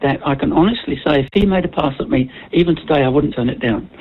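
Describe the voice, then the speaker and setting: A woman's very deep, low pitch and lively intonation at a very fast pace, against noticeable background noise. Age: 80s+. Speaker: caller to talkback radio. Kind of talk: phone-in call to radio. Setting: phone line. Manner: hesitant, many filler sounds.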